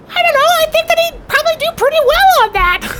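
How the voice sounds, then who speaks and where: This put-on character voice is squeaky and extremely high, with very wide pitch swings. It moves at a fairly quick pace over light background noise. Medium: actual play. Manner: chatty, salesy.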